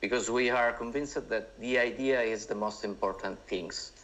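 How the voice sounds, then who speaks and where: A man with an Italian accent. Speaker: screenwriter and director. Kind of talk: talk. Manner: halting.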